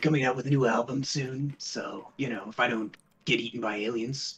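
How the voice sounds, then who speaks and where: Putting on a raspy character voice, a man speaks at a medium pitch with fairly even intonation. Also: moderate pace. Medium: actual play. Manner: rambling, casual.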